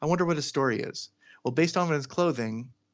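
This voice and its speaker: A man with an ordinary speaking voice, at a fairly quick pace with ordinary pitch variation. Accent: American. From US Pacific Northwest (Seattle, Washington). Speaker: cartoonist and character designer. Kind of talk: casual interview.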